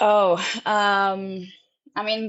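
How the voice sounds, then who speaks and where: A woman speaks at a medium pitch with a Serbo-Croatian accent. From Austria. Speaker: travel vlogger. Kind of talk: casual chat. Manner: halting.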